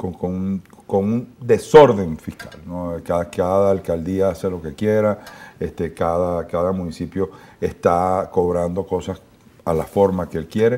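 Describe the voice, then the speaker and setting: Pitched very deep and low, the man talks at a fairly slow pace with fairly even intonation. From Venezuela. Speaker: business association president; guest. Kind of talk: interview. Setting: studio. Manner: halting, many repeated words. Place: studio.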